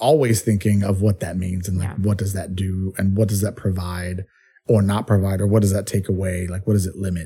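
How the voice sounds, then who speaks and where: The voice has a dark, mellow tone and is somewhat breathy. Its intonation stays monotone and flat at a fairly quick pace. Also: man, fairly low pitch for a man. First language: Spanish. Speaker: podcast host, poet laureate. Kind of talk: casual interview chat.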